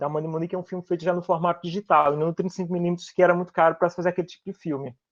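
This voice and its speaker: In a quiet, dry, close recording with no echo, a man speaks at a high pitch with a northeastern Brazilian accent. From Northeast Brazil. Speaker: filmmaker. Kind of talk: panel discussion. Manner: fast.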